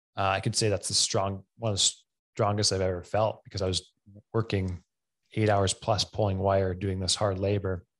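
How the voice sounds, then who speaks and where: A man with a Western Canadian accent speaks at a fairly low pitch in a monotone, flat intonation with very even loudness. The background is quiet. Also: moderate pace. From Camrose, Alberta, Canada. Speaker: fitness coach and gym owner. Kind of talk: casual interview.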